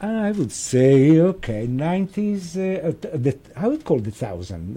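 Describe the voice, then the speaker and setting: A man with an Italian accent speaks at a fairly slow pace in a fairly high pitch. His pitch swings very widely over noticeable background noise. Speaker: restaurant owner. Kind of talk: casual interview. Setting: studio. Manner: halting.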